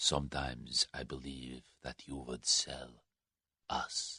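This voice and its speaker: A man puts on a character voice, very deep and low in pitch, with monotone, flat intonation at a fairly slow pace. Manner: sinister, slow.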